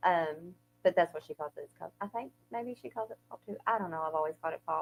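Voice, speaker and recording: Over music in the background, a woman with an Eastern Kentucky accent talks very fast in a fairly low pitch with ordinary pitch variation. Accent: Eastern Kentucky twang, noticeable. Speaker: podcast co-host. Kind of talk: casual chat.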